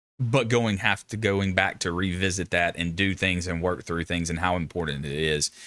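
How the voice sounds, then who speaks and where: A man with a Southern US accent and a very deep, low pitch, bright, sharp tone, ordinary pitch variation, on a very clean recording with a silent background. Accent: Southern accent with twang. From US South. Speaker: Marine veteran streamer. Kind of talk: live stream discussion. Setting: live stream. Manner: casual.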